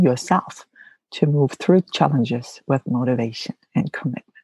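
Very deep and low, a woman's somewhat breathy voice has a dark, mellow tone, heard in a dry, close sound with no echo. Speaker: mental wellness podcast host, psychologist. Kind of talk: solo podcast monologue. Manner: hesitant, frequent um fillers.

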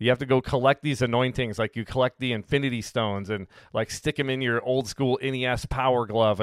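Fairly quickly, a man speaks at medium pitch with ordinary pitch variation. His is an unremarkable speaking voice. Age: 40s. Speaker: pastor. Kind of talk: bible teaching. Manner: casual, with fillers and repetitions.

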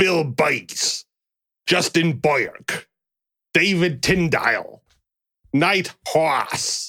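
Putting on a raspy character voice with a New Jersey accent, a man speaks at a high pitch and a very slow pace with long, frequent pauses, the sound dry and close with no echo.

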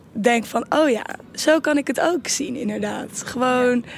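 Against noticeable background noise, a woman with a high pitch talks at a fairly slow pace. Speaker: student. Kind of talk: casual chat. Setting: garden.

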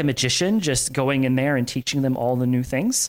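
With a Florida accent, a man talks with ordinary pitch variation in a dry, close sound with no echo, on a very clean recording with a silent background. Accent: American (Florida). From Florida, Tampa area. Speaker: tech consultant, former SRE manager. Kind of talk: casual interview chat. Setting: corporate apartment.

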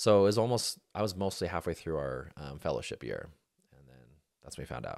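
In a very clean recording over a silent background, a man with an American accent speaks at a very deep, low pitch with vocal fry, lively intonation, big swings in loudness and a fairly quick pace. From Utah. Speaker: plastic surgeon. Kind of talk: casual chat.

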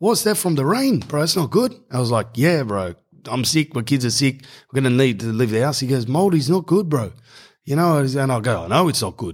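Animated and lively in intonation, this voice carries an Australian accent on a very clean recording with a silent background. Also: man. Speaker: podcast host. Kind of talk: casual monologue. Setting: home garage.

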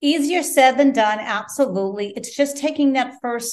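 With a normal speaking voice, a woman talks at a fairly slow pace using ordinary pitch variation. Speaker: guest, life coach and author. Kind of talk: interview, reflective conversation. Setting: Italy, remote call. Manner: spiritual, reflective.

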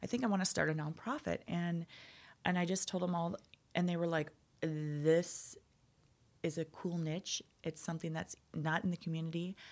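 Pausing often and at length, a woman with an Upper Midwest accent and fairly low pitch speaks with fairly even intonation. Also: moderate pace. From North Dakota. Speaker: nonprofit founder, IT professional. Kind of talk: casual interview.

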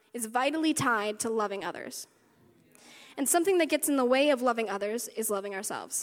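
A high-pitched woman's voice in an American accent, lively in intonation, on a very clean recording with a silent background. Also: long, frequent pauses. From US South, West Virginia. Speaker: worship leader. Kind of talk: sermon. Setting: stage with audience.

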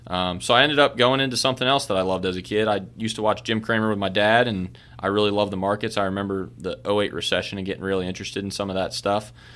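Noticeable background noise fills the recording. Over it, a man talks at a very fast pace. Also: fairly low pitch for a man, ordinary pitch variation, hardly any pauses. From Baltimore, Maryland. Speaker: financial advisor, podcast co-host. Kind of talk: casual chat. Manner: loud.

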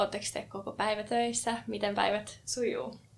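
Vocal fry marks this woman's medium-pitched voice. She speaks at a very slow pace. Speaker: podcast co-host. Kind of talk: casual chat. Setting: studio.

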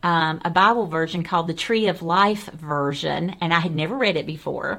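A moderate pace in a Southern US accent. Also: woman. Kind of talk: devotional Bible discussion.

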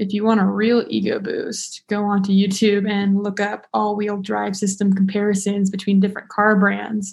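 With an American accent, a woman speaks in a somewhat breathy, monotone voice with flat intonation. Her pace is moderate, with hardly any pauses. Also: medium pitch for a woman. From Nevada (Las Vegas). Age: 20s. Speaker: student. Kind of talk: casual chat.

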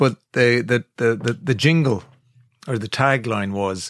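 In a very clean recording with a silent background and a dry, close sound with no echo, a man with an Irish accent speaks at a fairly slow pace, medium in pitch, with ordinary pitch variation. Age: 50s. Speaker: podcast co-host, radio presenter. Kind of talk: casual chat.

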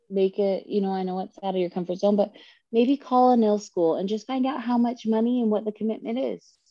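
Talking at a fairly quick pace, a woman uses a normal speaking voice with a fairly high pitch and ordinary pitch variation. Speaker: nail artist and educator. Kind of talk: casual interview chat.

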